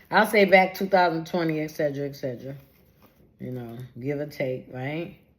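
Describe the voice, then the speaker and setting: In a very deep, low pitch, a woman speaks in an animated tone at a moderate pace, with big swings in loudness. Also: ordinary pitch variation. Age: 60s. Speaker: vlogger. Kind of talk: testimony. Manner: conversational, animated.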